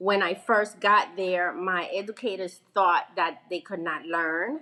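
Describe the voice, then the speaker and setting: With an American accent, a woman speaks at a fairly slow pace in a medium pitch with ordinary pitch variation, an ordinary speaking voice. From Venezuela, then New York from childhood. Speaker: school principal and foundation founder. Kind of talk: interview.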